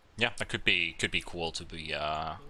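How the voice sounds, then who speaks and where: A man's bright, sharp tone with a slight Finnish accent. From Finland. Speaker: esports commentator. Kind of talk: live commentary.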